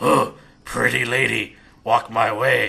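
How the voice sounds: Using a put-on character voice, a man talks in a raspy tone at a fairly slow pace.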